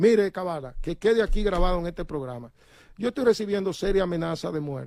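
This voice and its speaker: Speaking at a very fast pace, a man uses lively intonation in a high pitch with a dark, mellow tone. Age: 60s. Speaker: transport union leader. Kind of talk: interview. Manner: animated.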